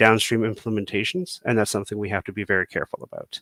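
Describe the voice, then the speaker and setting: This very clean recording has a silent background and a dry, close sound with no echo as a man speaks. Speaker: software developer. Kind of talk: technical presentation. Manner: fast; filler-heavy, many ums.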